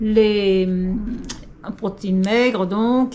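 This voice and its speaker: Audible room echo surrounds a woman speaking at a very slow pace. Her pitch is fairly high, and her intonation fairly even. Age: 60s. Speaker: senior fitness coach. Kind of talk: tutorial. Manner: casual, hesitant with fillers.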